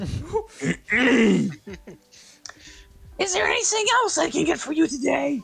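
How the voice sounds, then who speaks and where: Putting on a raspy character voice at an extremely high pitch, a man speaks fairly slowly with long, frequent pauses. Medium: actual play. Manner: chirpy, brisk.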